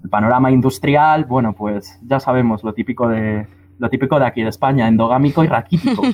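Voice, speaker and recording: A man with a normal speaking voice talks fairly quickly with ordinary pitch variation. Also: medium pitch for a man. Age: 20s. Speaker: musician and record label member. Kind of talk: panel discussion. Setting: remote connection.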